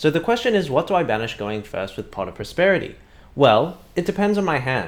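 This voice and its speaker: Speaking at a fairly quick pace, a man's voice swings very widely in pitch. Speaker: card game content creator. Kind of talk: tutorial. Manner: halting.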